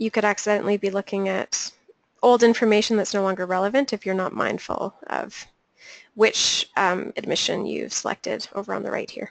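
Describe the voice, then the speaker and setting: In a normal speaking voice, the speaker talks fairly quickly with fairly even intonation, and the sound is dry and close with no echo. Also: woman, medium pitch for a woman. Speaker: webinar trainer. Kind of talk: tutorial. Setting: webinar.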